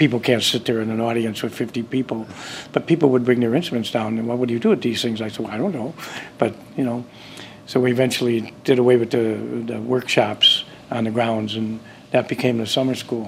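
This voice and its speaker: Against noticeable background noise, someone with an American accent speaks with fairly even intonation. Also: man, medium pitch for a man. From US Midwest, Chicago area then Wisconsin. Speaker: festival founder. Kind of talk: interview. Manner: halting, many fillers.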